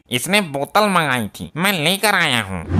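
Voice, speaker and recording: A man uses a cartoonish character voice, pitched fairly high, with very wide pitch swings. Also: moderate pace. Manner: brash, threatening.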